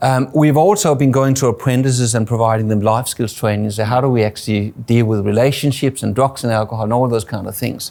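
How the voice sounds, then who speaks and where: At a very fast pace with hardly any pauses, a man talks in a medium pitch with fairly even intonation. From Denmark. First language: Danish. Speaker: suicide prevention charity CEO, former plumber. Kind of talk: interview. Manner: halting, many fillers and repeats.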